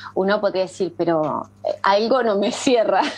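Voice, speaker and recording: Very slow speech from a woman at medium pitch, over noticeable background noise. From Argentina, rural Buenos Aires province. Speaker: screen-use parenting educator. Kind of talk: interview.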